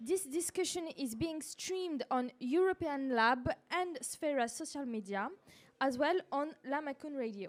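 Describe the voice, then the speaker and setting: Speaking with a strong French accent, a woman talks in a high-pitched voice. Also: lively intonation, fairly slow pace. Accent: heavy French. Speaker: journalist, panel moderator. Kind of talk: panel discussion moderation. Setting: live-streamed panel event.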